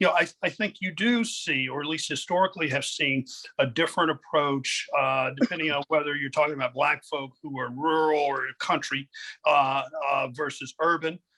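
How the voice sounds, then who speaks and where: A man's bright, sharp voice at a fairly high pitch, with an American accent and a fairly quick pace, the sound dry and close with no echo. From Appalachia, US. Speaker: gun law scholar. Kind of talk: panel discussion. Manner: halting.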